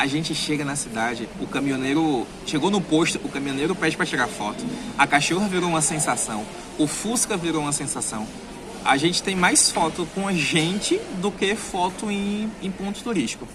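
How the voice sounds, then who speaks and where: This man talks at a moderate pace with lively intonation and a fairly high pitch. Noticeable background noise and audible room echo surround him. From Brazilian Northeast. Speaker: travel vlogger. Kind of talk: vlog monologue. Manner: animated, emphatic.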